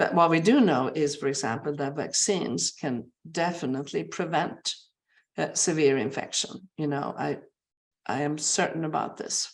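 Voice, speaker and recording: A woman speaks at a moderate pace with a very deep, low pitch. Vocal fry runs through her voice. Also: ordinary pitch variation. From Sweden. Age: 60s. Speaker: brain researcher, professor. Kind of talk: webinar interview. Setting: online webinar.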